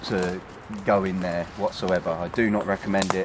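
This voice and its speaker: Amid noticeable background noise, a man with a very deep, low pitch speaks at a moderate pace with fairly even intonation and a dry sound with no echo. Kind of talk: casual vlog commentary. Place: forest. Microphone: phone near.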